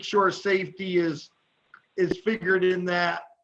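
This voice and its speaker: A man speaks loudly at a high pitch. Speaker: county supervisor. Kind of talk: committee meeting discussion.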